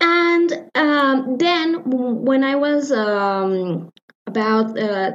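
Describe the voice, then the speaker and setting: With a Spanish accent, a woman speaks in a high pitch and lively intonation. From Mexico, Morelia, Michoacán. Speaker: musician and music teacher. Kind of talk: interview answers. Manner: halting, many fillers.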